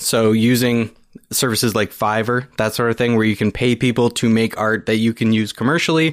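A man's ordinary speaking voice with a Canadian accent, medium in pitch, at a fairly quick pace, with fairly even intonation and very even loudness, on a very clean recording with a silent background. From Niagara region, Ontario, Canada. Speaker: podcaster and book creator. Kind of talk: casual interview chat. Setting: studio.

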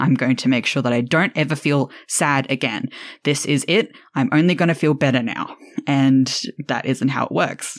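Moderate pacing on a very clean recording with a silent background. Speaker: podcast host. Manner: playful, bantering.

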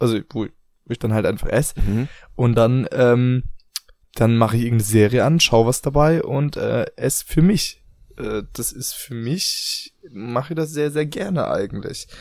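Here is a man with an ordinary speaking voice and a medium pitch. He talks at a moderate pace with ordinary pitch variation. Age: 20s. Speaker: podcast co-host. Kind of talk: casual chat.

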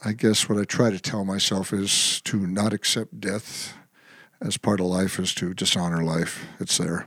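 A man with an American accent talks in an ordinary speaking voice, fairly low in pitch, at a fairly slow pace with fairly even intonation. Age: 60s. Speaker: singer-songwriter. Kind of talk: casual interview.

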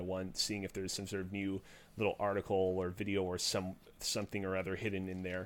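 A man speaks at a fairly quick pace. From Quebec, Montreal. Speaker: YouTube video creator and streamer. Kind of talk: casual chat.

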